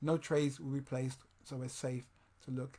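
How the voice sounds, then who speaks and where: Somewhat breathy male voice, fairly high-pitched, with a dark, mellow tone. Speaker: trading software tutorial presenter. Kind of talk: tutorial. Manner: fast; halting.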